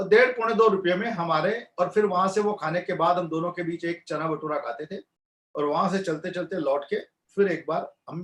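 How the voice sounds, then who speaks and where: A man speaks with a high pitch at a moderate pace. His pitch variation is ordinary. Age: 60s. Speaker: motivational speaker. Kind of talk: motivational talk. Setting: webinar video call.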